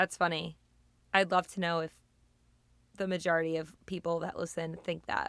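Her voice raspy and fairly low, a woman speaks at a moderate pace with monotone, flat intonation and long, frequent pauses. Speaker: podcast host. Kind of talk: casual chat.

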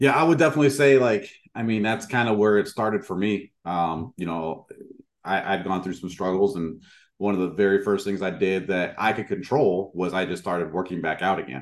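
An ordinary speaking voice from a man, fairly low in pitch, at a fairly quick pace with lively intonation. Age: 40s. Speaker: podcast host. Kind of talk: interview.

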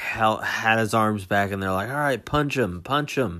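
A man talks in an animated, bright, sharp tone. The recording is very clean, with a silent background. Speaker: solo podcast host reacting to wrestling. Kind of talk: casual watch-along commentary. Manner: somewhat incoherent.

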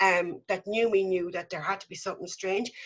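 The speaker is a woman. She talks with an Irish accent. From Ireland. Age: 50s. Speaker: mother telling her story. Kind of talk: testimony. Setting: remote call.

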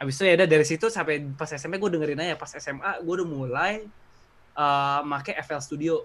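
Here is a plain, everyday voice from a man at a fairly high pitch. He talks at a fairly quick pace with ordinary pitch variation. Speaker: skateboarder and student. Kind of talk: casual chat.

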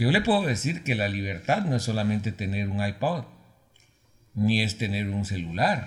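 Here a man speaks at a moderate pace and fairly low pitch, sounding somewhat breathy. His pitch variation is ordinary. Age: 60s. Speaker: broadcasting professor. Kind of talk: interview. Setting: studio.

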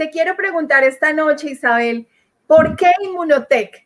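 Her pitch is high for a woman, with ordinary variation. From Colombia. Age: 40s. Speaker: network marketing leader. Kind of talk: panel question. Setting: video call.

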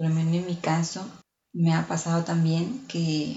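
A woman with a fairly low, somewhat breathy voice speaks at a fairly slow pace. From outside Mexico. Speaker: podcast host. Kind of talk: casual monologue.

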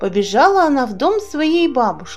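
Faint music plays behind a woman whose high voice moves in big pitch swings.

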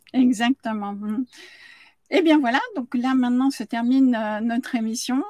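In a dry, close sound with no echo, a woman speaks fairly slowly in a high pitch, with a dark, mellow tone and ordinary pitch variation. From France. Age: 60s. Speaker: business coach. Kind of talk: live-streamed interview show.

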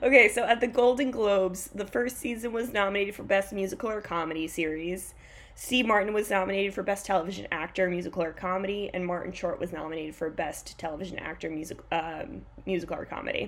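Talking at a very fast pace, a woman uses an animated tone at a medium pitch with ordinary pitch variation. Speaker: podcast host. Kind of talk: casual chat.

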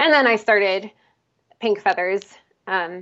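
In an unremarkable speaking voice, a woman with an American accent talks at a moderate pace with medium pitch and ordinary pitch variation. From Pennsylvania, outside Philadelphia. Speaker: musician and marathon runner. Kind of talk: casual interview.

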